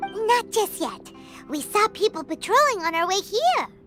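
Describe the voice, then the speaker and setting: A put-on character voice at an extremely high pitch speaks at a moderate pace over clear music in the background. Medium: video game. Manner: lively, casual.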